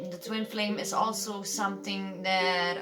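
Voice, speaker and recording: A woman with fairly low pitch speaks at a fairly slow pace over noticeable background noise and audible room echo. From Belgium. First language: Dutch. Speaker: tarot reader. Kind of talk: tarot reading. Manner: halting, many fillers.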